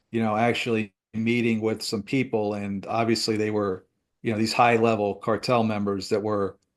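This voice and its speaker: Against a quiet background, an unremarkable speaking voice with an American accent moves at a moderate pace. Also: man. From US Northeast. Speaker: retired DEA agent. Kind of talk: interview.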